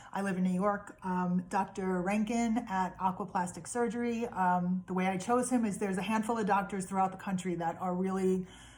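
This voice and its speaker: A somewhat breathy woman with fairly even intonation. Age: 50s. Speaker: vlogger sharing health journey. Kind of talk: personal video diary. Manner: hesitant, many fillers.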